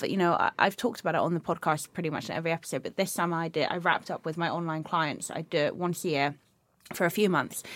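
Very fast speech from a woman with a fairly low pitch, on a very clean recording with a silent background. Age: 30s. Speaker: podcast host and personal trainer. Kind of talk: casual chat.

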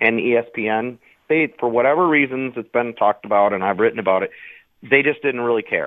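A man with an unremarkable speaking voice talks fairly quickly at a medium pitch. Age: 50s. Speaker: bowling writer. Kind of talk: radio interview.

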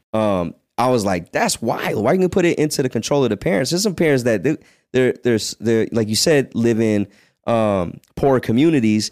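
In a normal speaking voice, a man with an American accent talks at a moderate pace, with medium pitch, lively intonation and very even loudness, on a very clean recording with a silent background. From Virginia. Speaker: podcast host. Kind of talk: casual chat.

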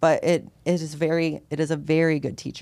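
Very deep and low in pitch, a woman with an American accent speaks with a dark, mellow tone and vocal fry in a very clean recording with a silent background. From US Midwest, rural Ohio. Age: 20s. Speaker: holistic health coach and veteran. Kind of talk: casual interview.

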